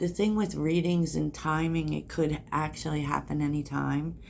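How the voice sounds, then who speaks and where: A soft-spoken woman at a fairly slow pace. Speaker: tarot reader. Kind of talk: tarot reading.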